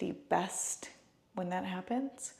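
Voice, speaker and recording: A woman speaks softly. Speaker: lifestyle vlogger. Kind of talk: casual vlog narration. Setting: at home. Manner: soft-spoken; casual, filler-heavy.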